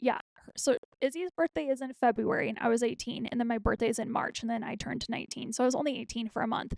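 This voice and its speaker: Pitched high, a woman speaks at a very fast pace with ordinary pitch variation. Her loudness swings widely. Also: dry, close sound with no echo. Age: 30s. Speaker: podcast host. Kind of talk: casual monologue.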